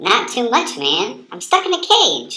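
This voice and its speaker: A squeaky, cartoonish character voice sits at an extremely high pitch. It moves at a fairly slow pace. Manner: casual, laid-back.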